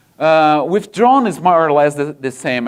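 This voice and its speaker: A man talks with a Brazilian accent. His pitch is fairly high. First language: Portuguese. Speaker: software engineer, conference speaker. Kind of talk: conference talk. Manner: halting, many fillers.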